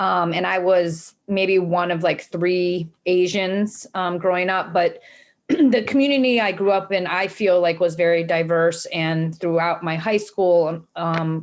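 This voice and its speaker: A very slow American accent on a very clean recording with a silent background. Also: woman. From US Midwest, Cleveland, Ohio. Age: 40s. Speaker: nonprofit executive director. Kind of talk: interview talk. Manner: frequent fillers (um).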